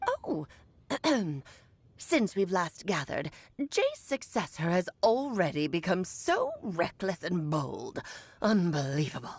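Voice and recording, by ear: Using a put-on character voice, a woman speaks at a fairly slow pace with long, frequent pauses. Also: medium pitch for a woman.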